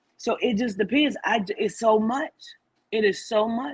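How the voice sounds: A woman's fairly high-pitched voice carries a slightly husky edge. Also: ordinary pitch variation, moderate pace.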